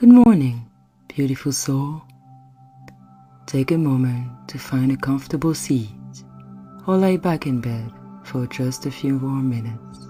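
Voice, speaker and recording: Soft-spoken, fairly slow speech in a French accent, with music in the background. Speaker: meditation guide. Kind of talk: guided meditation. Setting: calming background music. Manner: soft-spoken, gentle.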